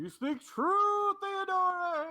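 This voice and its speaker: The put-on character voice is squeaky and extremely high in pitch. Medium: actual play.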